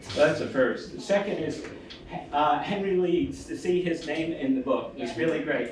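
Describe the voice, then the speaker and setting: Fairly high male speech with ordinary pitch variation, noticeable background noise and audible room echo. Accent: Brooklyn. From US Northeast, Brooklyn, New York. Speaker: theology professor, panelist. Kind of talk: panel discussion. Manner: conversational, with frequent fillers.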